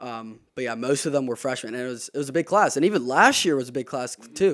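In a very clean recording with a silent background, a man speaks at medium pitch. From South Carolina. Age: 20s. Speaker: college soccer player. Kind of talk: casual interview. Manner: hesitant, many fillers.

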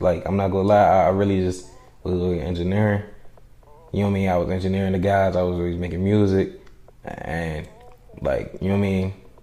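Delivery is very fast, in an American accent, with monotone, flat intonation and long, frequent pauses. Noticeable background noise and audible room echo come through. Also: man, very deep, low pitch for a man. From US, DC/Maryland/Virginia area. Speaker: rapper and audio engineer. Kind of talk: casual interview.

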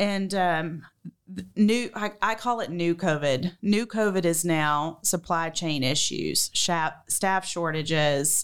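A woman with a Southern US accent, fairly low in pitch, very slow in pace and fairly even in intonation, on a very clean recording with a silent background. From Georgia, US South. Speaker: restaurant chef and owner.

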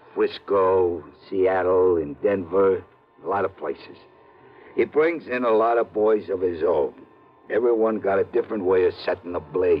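A man mumbles in a put-on character voice, fairly low in pitch. His pace is moderate. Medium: old radio play. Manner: terse, mumbling, uneducated street talk.

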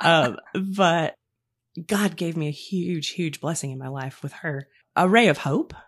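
A woman with an ordinary speaking voice, fairly low pitch and ordinary pitch variation talks at a fairly slow pace with big swings in loudness, in a very clean recording with a silent background. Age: 40s. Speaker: podcast guest sharing faith story. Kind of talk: testimony.

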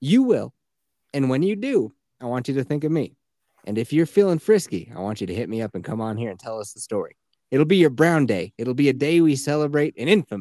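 A man talks very fast in an animated tone, at a fairly high pitch with very wide pitch swings. The sound is dry and close, with no echo. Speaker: podcast host. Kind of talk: casual chat. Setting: video call. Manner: animated, laughs often.

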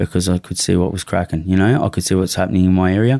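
The speaker has a strong Australian accent and talks at a very fast pace, with a dark, mellow tone. The sound is dry and close with no echo, and the recording is very clean over a silent background. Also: man. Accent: broad Australian. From Australia, western suburbs of Melbourne. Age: 40s. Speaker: former prisoner and drug dealer. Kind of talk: casual interview, life story. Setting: studio.

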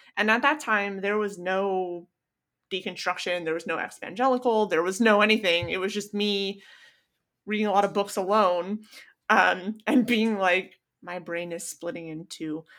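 With a plain, everyday voice, a woman speaks at a moderate pace and medium pitch with ordinary pitch variation, on a very clean recording with a silent background. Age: 30s. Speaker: online content creator. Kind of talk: casual chat.

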